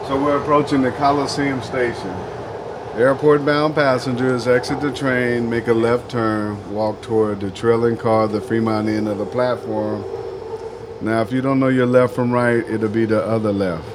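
Moderate-paced speech from a man in an American accent, with noticeable background noise and audible room echo. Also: medium pitch for a man. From Oakland, California. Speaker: train operator. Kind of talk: train announcements and casual narration. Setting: train operator cab. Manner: animated.

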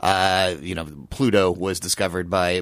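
He has a very deep, low pitch. This man speaks with a Midwestern American accent. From Lawrence, Kansas. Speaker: online group administrator. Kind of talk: radio panel discussion. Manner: halting, many fillers and repetitions.

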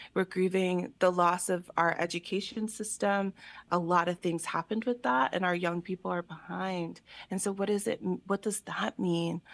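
A woman's normal speaking voice with an American accent, medium pitch and ordinary pitch variation, dry and close with no echo over a quiet background. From Allentown, Pennsylvania. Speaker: artist and exhibition creator. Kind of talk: radio interview.

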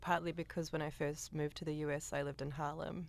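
A woman speaks with a New Zealand accent. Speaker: composer. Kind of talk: interview. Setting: studio.

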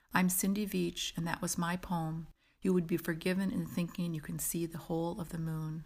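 Her voice is fairly low for a woman, somewhat breathy, and monotone with flat intonation. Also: moderate pace, very clean recording, silent background. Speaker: poet. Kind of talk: poet reading her own poem aloud, a whimsical lyric meditation on the moon. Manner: playful, wry asides delivered with a gentle conspiratorial wink.

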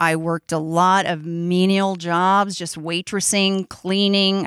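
A woman speaks at a fairly slow pace with a medium pitch and ordinary pitch variation in a plain, everyday voice, in a very clean, dry, close recording with a silent background and no echo. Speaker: storyteller. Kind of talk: live storytelling. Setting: stage with audience.

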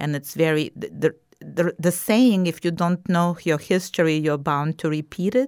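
A woman's fairly low-pitched voice with a Russian accent, moderate pace and ordinary pitch variation. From Ukraine, Kyiv. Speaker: documentary filmmaker and historical society president. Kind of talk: interview.

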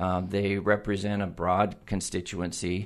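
Against a quiet background, a man with a West Coast accent talks at a fairly low pitch. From Oregon (Eugene). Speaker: utility general manager. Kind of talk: interview. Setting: studio.

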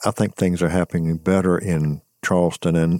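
A man with a very deep, low pitch and a dark, mellow tone speaks at a fairly quick pace in a dry, close sound with no echo. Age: 70s. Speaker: radio host and historian. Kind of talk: radio interview. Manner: jovial.

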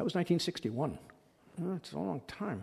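A man's somewhat breathy voice. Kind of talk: lecture with audience Q&A. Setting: stage with audience.

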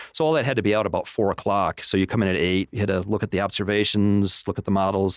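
A man with an American accent talks at a very fast pace and a fairly low pitch. The sound is dry and close, with no echo. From Michigan, Flint. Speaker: meteorologist. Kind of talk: radio interview.

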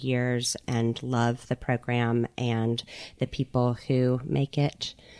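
A woman with a Gulf Coast accent speaks in a very deep, low pitch. The sound is dry and close, with no echo. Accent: Southern US, Gulf Coast. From US Gulf Coast Mississippi. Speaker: podcast host and curator. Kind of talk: casual interview chat. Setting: radio studio.

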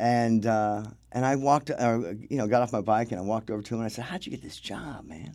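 A man with an American accent talks at a very fast pace in a medium pitch, with ordinary pitch variation and big swings in loudness. The recording is very clean, with a silent background. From US South, Wilmington, North Carolina. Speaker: film crew key grip. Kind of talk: interview storytelling. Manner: halting, frequent fillers and repeats.

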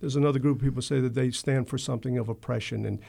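On a very clean recording with a silent background, a man with an American accent speaks at a medium pitch with vocal fry and fairly even intonation. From US South, Wilmington, North Carolina. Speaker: mayor and election candidate. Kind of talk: radio interview. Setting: radio studio.

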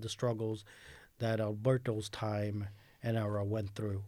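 A man with a New York accent talks at a moderate pace and a fairly low pitch. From New York City. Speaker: newspaper editor and educator. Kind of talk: radio interview. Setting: radio studio.

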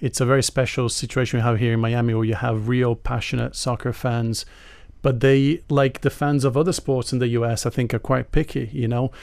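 A man talks in a normal speaking voice. His intonation is fairly even. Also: medium pitch for a man, fairly quick pace. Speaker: soccer journalist. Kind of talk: radio panel discussion. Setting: radio studio.

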